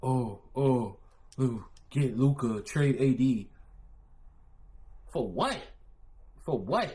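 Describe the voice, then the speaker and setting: With a New York accent, a man speaks very slowly in a somewhat breathy, dark, mellow voice of medium pitch, with ordinary pitch variation and long, frequent pauses. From Philadelphia. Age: 30s. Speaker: streamer reacting to videos. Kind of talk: live stream reaction commentary. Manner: animated.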